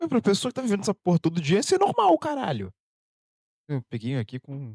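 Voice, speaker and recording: With an animated tone, a high-pitched man talks very fast, his pitch swinging very widely. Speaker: YouTube reactor. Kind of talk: reaction commentary.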